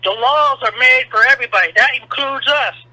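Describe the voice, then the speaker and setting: Against noticeable background noise, a man speaks at a fairly quick pace in a raised, projected voice with fairly even intonation, the sound dry and close with no echo. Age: 60s. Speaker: caller, military veteran. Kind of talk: call-in opinion.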